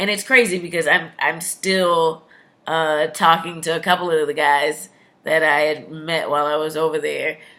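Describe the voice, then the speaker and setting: A woman's fairly low-pitched voice with a bright, sharp tone, fairly even intonation and a moderate pace, on a very clean recording with a silent background. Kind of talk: casual talk to camera. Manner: casual, chatty.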